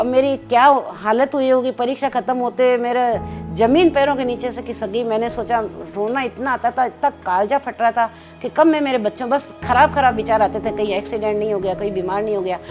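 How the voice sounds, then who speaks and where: With music in the background, a woman with a high pitch talks at a moderate pace and ordinary pitch variation. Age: 70s. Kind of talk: interview answer.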